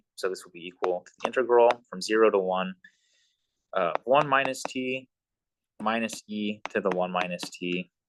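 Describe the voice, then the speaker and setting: A man talks at a medium pitch with ordinary pitch variation. The sound is dry and close, with no echo. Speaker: math instructor. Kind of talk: lecture. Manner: fast.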